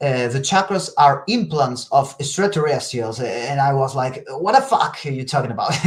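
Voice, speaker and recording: In a Spanish accent, a man speaks at a fairly high pitch with lively intonation and a somewhat breathy voice. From northern Spain. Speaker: telekinesis practitioner and teacher. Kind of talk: casual interview. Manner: halting, searching for words.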